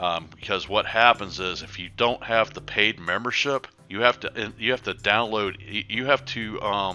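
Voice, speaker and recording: Over music in the background, a man with an American accent talks at a fairly low pitch and moderate pace, with fairly even intonation and hardly any pauses. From USA. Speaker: gaming tutorial youtuber. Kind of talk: tutorial. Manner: halting, many fillers.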